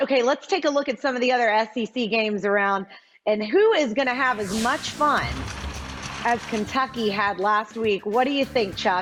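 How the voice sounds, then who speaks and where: Music in the background behind a woman at a fairly high pitch, moderate pace and ordinary pitch variation. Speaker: sports TV host. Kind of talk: TV sports show hosting. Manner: loud.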